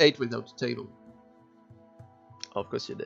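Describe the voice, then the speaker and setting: Faint music plays in the background. A man speaks with a French accent. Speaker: gaming YouTuber. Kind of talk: casual let's play commentary. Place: home room.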